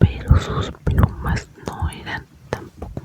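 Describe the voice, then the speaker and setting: Whispered words from a woman, with noticeable noise in the background. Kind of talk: ASMR whispered chat to camera. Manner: whispered, soft, chatty.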